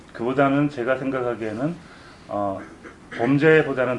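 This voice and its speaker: Speaking at a fairly slow pace, a man uses a normal speaking voice with ordinary pitch variation. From South Korea. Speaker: novelist. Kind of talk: interview answers at a book event. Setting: room with live audience, no sound system.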